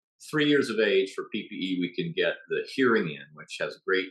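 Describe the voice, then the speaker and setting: At a fairly quick pace, a man speaks with a southeastern US accent. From southeastern United States. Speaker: ear surgeon. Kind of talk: lecture. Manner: halting.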